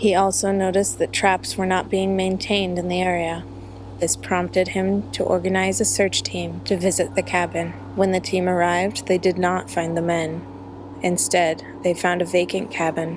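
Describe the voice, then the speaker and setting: This voice is soft-spoken. The pace is moderate. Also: woman. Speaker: true crime narrator. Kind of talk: true crime storytelling.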